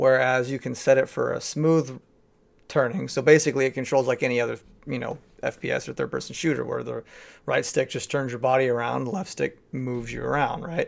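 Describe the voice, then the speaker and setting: A man speaks quietly at a fairly quick pace. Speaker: gaming youtuber. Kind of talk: casual video review. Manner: hesitant, many ums.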